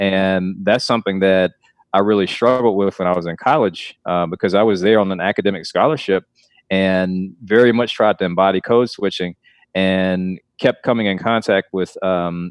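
A man with an American accent and a normal speaking voice, fairly low in pitch, with fairly even intonation at a moderate pace. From US South, Clarkston near Atlanta, Georgia. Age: 30s. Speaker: nonprofit CEO in youth mentoring. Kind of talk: interview.

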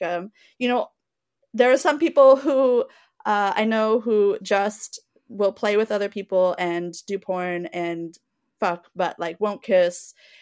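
Recorded very cleanly against a silent background, with a dry, close sound and no echo, a woman uses an ordinary speaking voice at a medium pitch, ordinary pitch variation and a fairly slow pace. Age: 30s. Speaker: adult film producer and community organizer. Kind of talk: casual chat.

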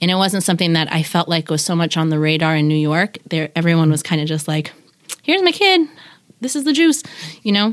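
Ordinary pitch variation runs through the speech. Delivery moves at a fairly quick pace. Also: woman, fairly low pitch for a woman. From Pacific Northwest, US (Washington). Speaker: artist and preschool teacher. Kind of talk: casual interview.

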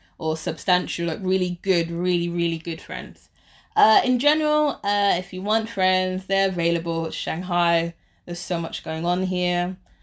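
Over a silent background in a very clean recording, a woman with a London accent speaks at a moderate pace in a fairly low pitch. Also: ordinary pitch variation. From London, England. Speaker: teacher. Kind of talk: interview. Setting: in person with host.

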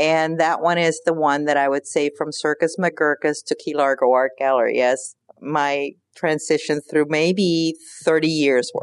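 In a very deep, low voice, a woman speaks at a fairly slow pace with monotone, flat intonation, the sound dry and close with no echo. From Cuba, raised in Pinellas County, Florida. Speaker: artist and gallery owner. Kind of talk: interview. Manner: halting.

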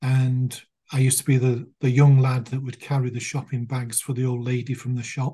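A man with a British accent talks at a fairly quick pace and medium pitch, somewhat breathy, with monotone, flat intonation. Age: 60s. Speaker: clinical hypnotherapist. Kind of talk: interview. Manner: soothing.

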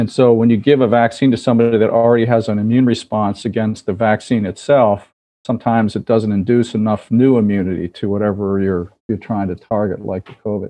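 In a plain, everyday voice, a man with an American accent speaks at a fairly quick pace with fairly low pitch, fairly even intonation and hardly any pauses. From US, Baltimore. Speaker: infectious disease physician and professor. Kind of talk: interview.

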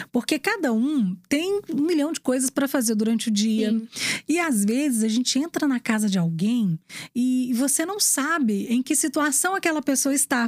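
A woman's high-pitched voice holds very even loudness, with a dry, close sound and no echo. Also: lively intonation, moderate pace. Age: 40s. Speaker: radio presenter and journalist. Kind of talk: casual interview chat.

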